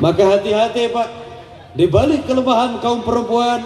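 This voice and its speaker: Audible room echo surrounds a man's high voice. He talks at a moderate pace with ordinary pitch variation. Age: young. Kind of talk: religious sermon with humor. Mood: joking, playful. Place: hall. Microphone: handheld.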